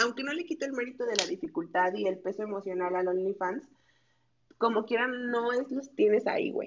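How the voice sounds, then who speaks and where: Speaking at a moderate pace, a woman with a Mexican accent uses a high pitch that swings very widely. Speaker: guest. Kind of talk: casual chat.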